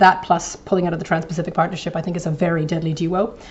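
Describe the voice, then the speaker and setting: A woman speaks very fast in a flat monotone. Noticeable background noise and audible room echo fill the recording. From eastern Canada, New Brunswick. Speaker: professor, invited lecturer. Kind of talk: lecture. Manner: hesitant, many fillers.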